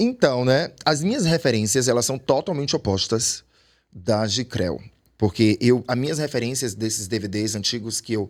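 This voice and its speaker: On a very clean recording with a silent background, a man with an ordinary speaking voice talks at a fairly slow pace in a medium pitch with ordinary pitch variation. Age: 40s. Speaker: urban dancer. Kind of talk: podcast interview.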